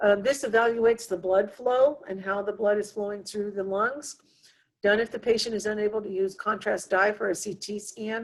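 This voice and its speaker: Delivered at a moderate pace, a normal speaking voice keeps a fairly even intonation. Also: woman, medium pitch for a woman. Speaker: nursing instructor. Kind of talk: lecture. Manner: frequent fillers.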